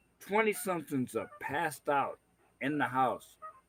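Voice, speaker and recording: With music playing in the background, a man speaks in lively intonation. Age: 60s. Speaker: livestream host. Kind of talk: casual chat. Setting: livestream from a man cave at a party. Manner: halting, repeats words.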